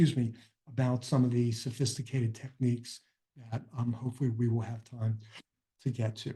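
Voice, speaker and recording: A somewhat breathy, dark, mellow tone at a fairly quick pace with monotone, flat intonation. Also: man, medium pitch for a man. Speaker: financial advisor presenting a webinar. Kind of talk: webinar presentation. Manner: hesitant with filler words.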